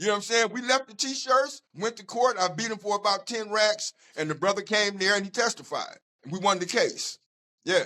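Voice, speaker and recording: Raising and projecting his voice, a man speaks at a high pitch with a bright, sharp tone and ordinary pitch variation. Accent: American. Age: 60s. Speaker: community activist. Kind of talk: casual interview. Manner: animated storytelling with repetitions.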